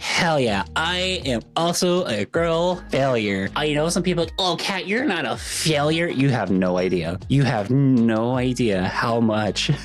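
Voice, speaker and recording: Against noticeable background noise, a woman with a very deep, low pitch speaks fairly slowly with hardly any pauses and very wide pitch swings. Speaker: vtuber and streamer reacting to memes. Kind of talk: casual reaction commentary. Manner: animated.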